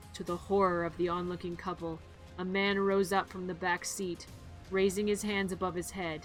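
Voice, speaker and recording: A woman's monotone, flat delivery at a moderate pace, with music in the background. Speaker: vtuber streamer. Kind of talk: horror story reading.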